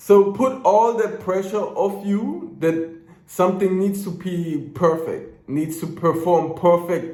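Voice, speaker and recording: Under audible room echo, a man with a high pitch and a German accent speaks at a very slow pace with ordinary pitch variation. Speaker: business coach. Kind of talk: casual motivational talk to camera. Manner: unscripted, ranting; stutters at times.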